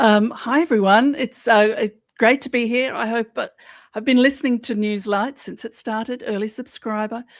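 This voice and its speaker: In a very clean recording with a silent background, a woman with an Australian accent speaks at a moderate pace, her fairly high pitch carried on fairly even intonation. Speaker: journalist and podcaster. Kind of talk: casual chat.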